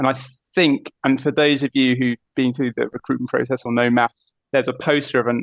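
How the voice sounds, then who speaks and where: A man speaks with a British accent. His intonation is monotone and flat. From southern England. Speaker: aviation mission operations manager. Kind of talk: podcast interview.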